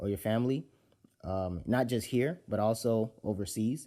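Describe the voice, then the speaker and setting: A man's fairly low voice has a dark, mellow tone and ordinary pitch variation. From Nigeria. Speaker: podcast host. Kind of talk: casual solo podcast talk. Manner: repetitive, halting with fillers.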